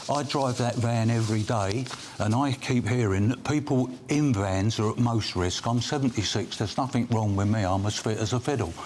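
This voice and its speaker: Over noticeable background noise, a man at a medium pitch speaks at a moderate pace with fairly even intonation and very even loudness. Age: 70s. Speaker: self-employed builder. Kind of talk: debate interview.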